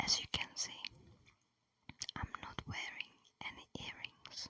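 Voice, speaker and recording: Someone whispers at a very slow pace in a gentle tone. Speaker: ASMR creator. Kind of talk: ASMR whispering and rambling. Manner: whispered, gentle.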